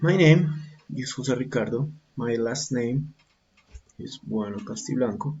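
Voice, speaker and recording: A medium-pitched man with a Colombian accent, lively intonation, big swings in loudness and long, frequent pauses. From Colombia, Bogota. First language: Spanish. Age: 40s. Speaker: English teacher and learner. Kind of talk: student self-introduction presentation. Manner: halting, with fillers.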